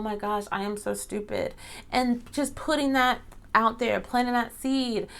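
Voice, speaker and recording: Speaking at a fairly slow pace, a woman with a fairly high pitch keeps her intonation fairly even. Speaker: podcast host; teacher. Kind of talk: solo podcast monologue. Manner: loud; casual, conversational.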